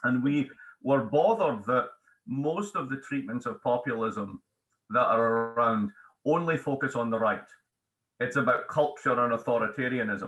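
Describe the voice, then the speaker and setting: With a Scottish accent, a man speaks at a moderate pace, leaving long, frequent pauses. His voice sits at a medium pitch with ordinary pitch variation. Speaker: economics professor and author. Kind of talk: interview.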